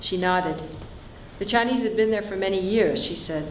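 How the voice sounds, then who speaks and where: A woman speaks with an American accent. Audible room echo and noticeable background noise surround her voice. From San Francisco. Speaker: author. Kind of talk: reading aloud.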